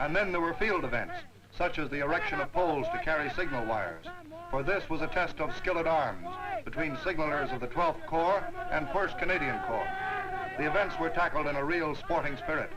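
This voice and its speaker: The speaker is a man at a moderate pace. Noticeable background noise can be heard. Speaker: newsreel narrator. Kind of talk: wartime newsreel narration.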